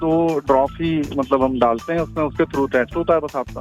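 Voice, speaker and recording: Background music plays throughout. A man talks at a moderate speed. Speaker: prank call victim; lab staff. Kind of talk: phone conversation, unaware of prank. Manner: polite, professional, hesitant.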